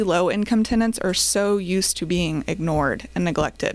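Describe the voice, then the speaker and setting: With an American accent, a woman speaks at a moderate pace with very wide pitch swings. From Oklahoma (Choctaw, near Oklahoma City). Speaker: real estate investment company co-founder. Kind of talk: podcast interview. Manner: hesitant with fillers.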